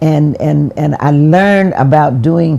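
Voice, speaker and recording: Against noticeable background noise, a woman with a very deep, low pitch speaks with ordinary pitch variation. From US South. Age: 80s+. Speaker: former mayor. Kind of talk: interview. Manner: halting.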